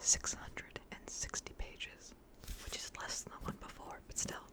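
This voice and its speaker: Whispering at a fairly slow pace, a woman comes through over noticeable background noise. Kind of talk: ASMR book rambling. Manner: whispered.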